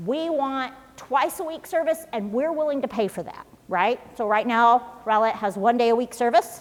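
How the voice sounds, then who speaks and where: A woman talks in a high, squeaky voice with lively intonation. Noticeable background noise sits behind her. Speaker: city official presenting to residents. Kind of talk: public presentation. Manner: fast.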